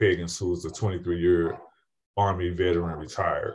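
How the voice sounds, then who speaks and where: A man with a very deep, low pitch talks at a moderate pace in a somewhat breathy, monotone, flat way on a very clean recording with a silent background. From St. Louis, Missouri. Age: 50s. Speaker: retired firefighter and paramedic. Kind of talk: interview.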